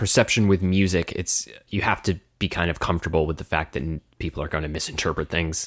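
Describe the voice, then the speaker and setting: A man with an American accent speaks at a very deep, low pitch with fairly even intonation. He goes at a fairly quick pace with hardly any pauses on a very clean recording with a silent background. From United States. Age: 30s. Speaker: musician and podcast co-host. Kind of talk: casual chat.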